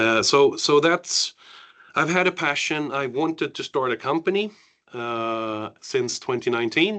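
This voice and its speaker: A man speaks at a fairly slow pace with a fairly high pitch. His intonation is lively, and the background is quiet. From Sweden, Värmland; partly raised in the US. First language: Swedish. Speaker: cultural trainer and IT project manager. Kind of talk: training session. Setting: room with audience and online participants.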